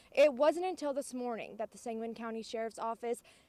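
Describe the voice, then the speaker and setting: A woman's pitch shifts in an ordinary way while noticeable noise carries on behind her. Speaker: TV news reporter. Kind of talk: TV news report.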